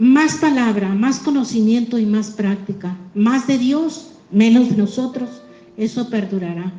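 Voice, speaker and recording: A fairly high-pitched woman with a Mexican accent at a fairly slow pace, with ordinary pitch variation, audible room echo and noticeable background noise. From Mexico. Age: 60s. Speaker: pastor. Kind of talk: sermon.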